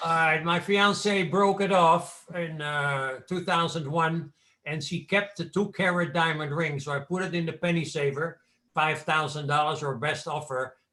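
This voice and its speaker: This man has a Dutch accent and a fairly high pitch. His tone is bright and sharp, his intonation fairly even, and his pace fairly slow. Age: 70s. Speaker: businessman guest. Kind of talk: storytelling in interview.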